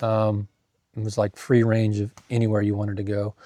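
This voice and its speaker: A man is heard against a quiet background, the sound dry and close with no echo. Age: 50s. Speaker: van camping vlogger. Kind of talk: casual video review. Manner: halting, many fillers.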